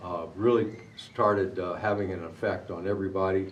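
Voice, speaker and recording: In a room with audible echo, a man with an American accent talks at a moderate pace in a fairly low pitch. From Arizona. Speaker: war veteran. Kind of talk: testimony. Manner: halting.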